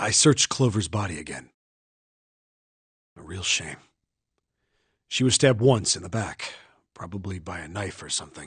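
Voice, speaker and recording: A man puts on a raspy character voice, fairly low in pitch, speaking at a moderate pace with big swings in loudness, ordinary pitch variation, and long, frequent pauses. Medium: video game. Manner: casual, blunt.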